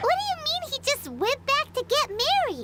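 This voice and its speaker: A put-on character voice at an extremely high pitch. It sounds squeaky. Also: moderate pace. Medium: game stream. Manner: chatty, inquisitive.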